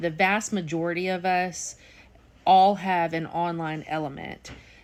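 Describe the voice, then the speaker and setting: On a very clean recording with a silent background, a woman with an unremarkable speaking voice talks at a fairly slow pace, her fairly low pitch held in fairly even intonation. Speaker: real estate auctioneer. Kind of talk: casual talk to camera, explaining auction methods. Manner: conversational, explanatory.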